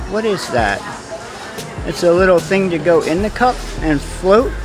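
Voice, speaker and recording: Music plays in the background as the speaker proceeds at a fairly slow pace. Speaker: shopping vlogger. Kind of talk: casual product walkthrough. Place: shop. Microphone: phone near.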